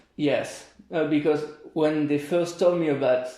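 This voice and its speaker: Over noticeable background noise, a man speaks at a moderate pace with a French accent. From France, near Paris. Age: 20s. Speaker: volunteer. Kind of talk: interview. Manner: halting.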